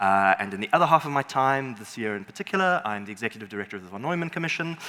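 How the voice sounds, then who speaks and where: Very fast and lively in intonation, the speech comes through noticeable background noise. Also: man. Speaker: panel moderator. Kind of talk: panel discussion.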